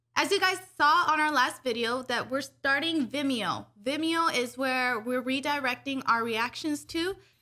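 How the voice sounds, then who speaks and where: A woman's high, bright, sharp voice, raised and projected, at a moderate pace with ordinary pitch variation, hardly any pauses and a quiet background. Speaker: anime reaction youtuber. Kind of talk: casual chat. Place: home room. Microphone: studio mic.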